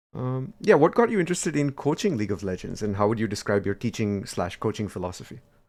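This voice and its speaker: In a very clean recording with a silent background, a man with an Indian accent talks at a fairly quick pace at medium pitch. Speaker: podcast host. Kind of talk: casual interview.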